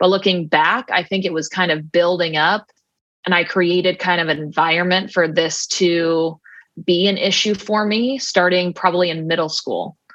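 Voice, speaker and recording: A woman talks in a normal speaking voice with a fairly low pitch. Her pace is moderate and her intonation fairly even. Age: 30s. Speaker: former softball player, mental game coach. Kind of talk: casual interview chat.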